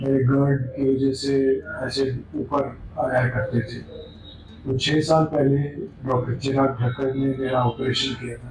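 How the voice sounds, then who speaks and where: The man's pitch is medium. He talks with monotone, flat intonation. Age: 60s. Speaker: surgery patient. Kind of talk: patient testimonial. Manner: hesitant, with fillers.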